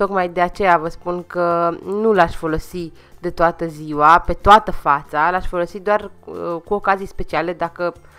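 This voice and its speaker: A woman speaks at a fairly slow pace in a fairly low pitch with monotone, flat intonation, with music in the background. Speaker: beauty vlogger. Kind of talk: makeup tutorial.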